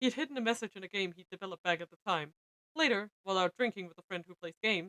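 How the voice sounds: The pitch moves in an ordinary way. It comes in a natural reading voice over a quiet background.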